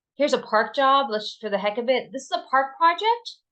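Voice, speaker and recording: Lively intonation carries through everything this woman says. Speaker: sales rep giving software demo. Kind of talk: webinar product demo. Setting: online webinar. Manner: fast.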